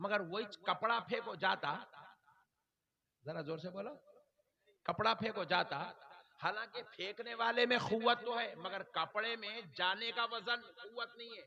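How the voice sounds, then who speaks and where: High pitch from a male speaker, with ordinary pitch variation. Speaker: Islamic preacher. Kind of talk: religious sermon to a live gathering. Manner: emphatic, rousing.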